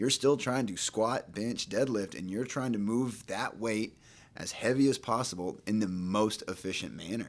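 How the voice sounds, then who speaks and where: In a very clean recording with a silent background, a man with a Texan accent speaks at a moderate pace with ordinary pitch variation. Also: medium pitch for a man. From East Texas (Nacogdoches). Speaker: physical therapist. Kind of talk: casual chat.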